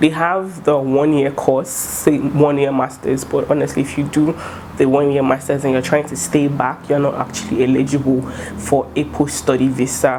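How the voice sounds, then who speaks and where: A woman speaks with a very deep, low pitch and ordinary variation in tone. Noticeable background noise runs behind her. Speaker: student vlogger. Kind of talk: casual vlog talk. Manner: fast; animated.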